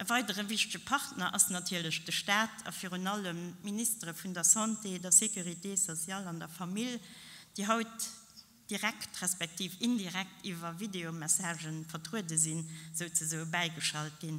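Fairly low in pitch, a woman speaks at a moderate pace with ordinary pitch variation. Her tone is bright and sharp. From Luxembourg. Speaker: local politician. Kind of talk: formal speech. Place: hall. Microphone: podium.

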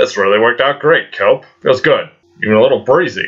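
Cartoonish character voice at a fairly quick pace, its loudness very even. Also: man. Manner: petulant, whiny.

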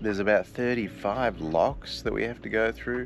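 A man's fairly low voice at a fairly slow pace, with ordinary pitch variation, a dry sound free of echo, and light background noise. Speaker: sailing vlogger. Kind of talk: casual vlog chat. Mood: relaxed, cheerful morning. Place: boat. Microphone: phone near.

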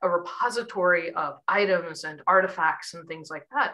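The background stays quiet while a woman talks. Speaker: environmental educator. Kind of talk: lecture. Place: home room. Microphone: webcam.

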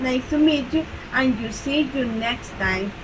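A woman with a Salvadoran accent and a high pitch, at a very slow pace, with ordinary pitch variation and noticeable background noise. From El Salvador. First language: Spanish. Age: 20s. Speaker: bank teller. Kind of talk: self-introduction read aloud. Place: home room. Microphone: webcam.

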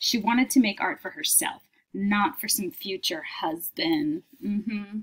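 A woman speaks at a fairly slow pace. Her intonation is lively. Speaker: teacher. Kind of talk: reading aloud a children's book with comments. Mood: warm, lightly amused. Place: home room. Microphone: webcam.

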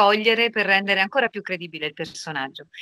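Against a quiet background, a woman with lively intonation speaks at a medium pitch in a bright, sharp tone, the sound dry with no echo. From Rome, Italy; Italy. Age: 40s. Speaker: voice actress. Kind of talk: interview.

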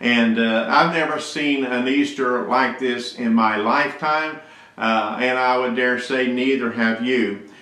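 Intonation stays fairly even at a fairly slow pace, with audible room echo. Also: man. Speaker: church pastor. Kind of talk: sermon. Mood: earnest, pastoral. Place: office. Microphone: webcam.

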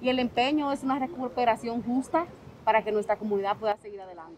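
An unremarkable speaking voice with ordinary pitch variation comes through dry with no echo over light background noise. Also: woman. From Dominican Republic, raised in New York. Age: 30s. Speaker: politician. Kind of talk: interview. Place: street. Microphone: handheld.

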